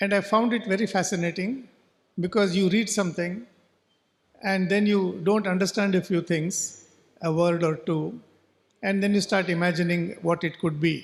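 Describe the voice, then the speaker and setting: Speaking at a moderate pace with long, frequent pauses, a man with a Goan accent uses a high pitch and fairly even intonation. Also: very even loudness. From coastal Karnataka, India. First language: Konkani. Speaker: novelist. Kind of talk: talk at a literature festival. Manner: halting.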